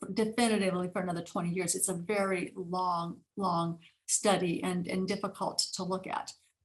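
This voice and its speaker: In a somewhat breathy voice, a woman speaks at a medium pitch. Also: moderate pace. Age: 60s. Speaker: neuropsychiatrist and author. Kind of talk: interview. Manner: animated; halting.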